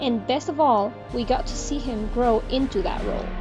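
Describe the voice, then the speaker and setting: Over music in the background, the speaker has a non-native accent and very wide pitch swings. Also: woman. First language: not English. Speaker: cartoon reviewer. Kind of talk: video review narration.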